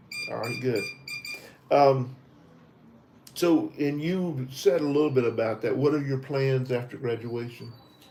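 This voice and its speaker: A man at medium pitch with an American accent, fairly slow and fairly even in intonation, with long, frequent pauses amid noticeable background noise. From US South, Tennessee. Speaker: visa interview trainer. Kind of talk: mock visa interview. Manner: halting.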